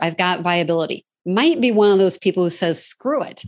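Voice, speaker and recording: With an American accent and an unremarkable speaking voice, a woman talks at a fairly quick pace with lively intonation over a quiet background. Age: 50s. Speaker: franchise consultant. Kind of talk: interview.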